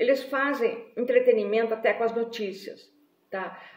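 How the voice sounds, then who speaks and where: Her voice is fairly high, with ordinary pitch variation. The woman keeps a moderate pace. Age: 60s. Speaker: writer and vlogger. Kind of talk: live video monologue. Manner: animated.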